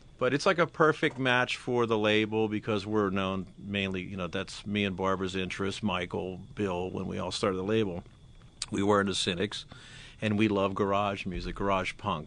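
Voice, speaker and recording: At a medium speed, a plain, everyday voice moves through normal pitch changes. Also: man, fairly low pitch for a man. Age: 50s. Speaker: record label head and guitarist. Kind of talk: radio interview.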